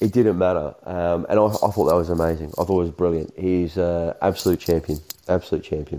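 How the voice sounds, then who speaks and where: Speaking at a fairly quick pace with very even loudness, a man with an Australian accent has a dark, mellow tone. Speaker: street footballer. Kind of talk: casual chat.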